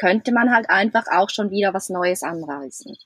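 A woman's plain, everyday voice moves at a moderate pace with ordinary pitch variation. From Switzerland. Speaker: traveller, van-life couple. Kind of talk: casual interview.

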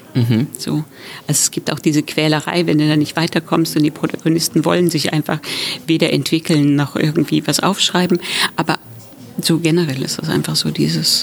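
A woman's very deep, low voice at a fairly quick pace, with noticeable background noise. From Thuringia, Germany. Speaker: author. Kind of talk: casual chat.

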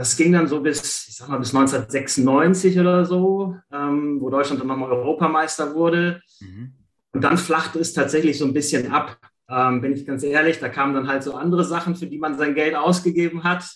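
With an ordinary speaking voice, a man talks at a moderate pace, pitched fairly high with ordinary pitch variation. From Germany, Ratingen (Rhineland). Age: 40s. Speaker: sticker collector. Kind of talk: casual interview.

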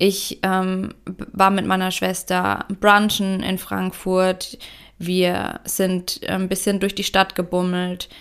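A woman's flat, monotone delivery at a very slow pace. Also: medium pitch for a woman. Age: 30s. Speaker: business coach, podcast host. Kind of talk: solo podcast monologue. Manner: reflective, heartfelt.

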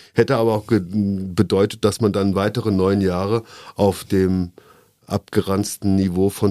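Heard on a very clean recording with a silent background, a man with an ordinary speaking voice talks at a moderate pace, fairly low in pitch and with fairly even intonation. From Koblenz, Germany. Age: 50s. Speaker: former bar owner, city nightlife commissioner. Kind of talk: casual interview.

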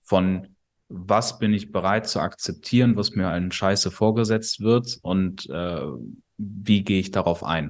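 Very slowly, the speech unfolds with normal rises and falls in pitch. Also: man, fairly low pitch for a man, quiet background. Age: 20s. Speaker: sales company CEO. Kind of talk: casual chat. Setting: at host's kitchen table.

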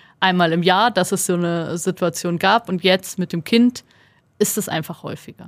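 A woman in a normal speaking voice. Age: 30s. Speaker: podcast co-host, journalist. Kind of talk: casual chat. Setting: studio.

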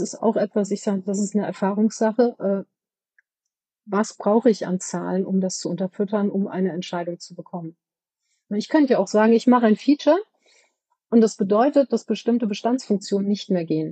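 A woman with a medium-pitched, somewhat breathy voice and a dark, mellow tone talks at a moderate pace with ordinary pitch variation. She leaves long, frequent pauses, and the sound is dry and close with no echo. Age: 50s. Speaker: company board member for products. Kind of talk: interview.

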